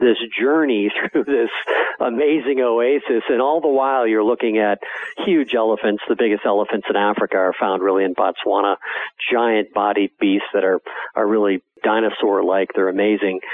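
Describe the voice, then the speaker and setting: With an American accent, a man talks in a plain, everyday voice at a medium pitch and moderate pace, with ordinary pitch variation and very even loudness. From Wisconsin, US Midwest. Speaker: outdoor TV producer and hunter. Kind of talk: radio interview.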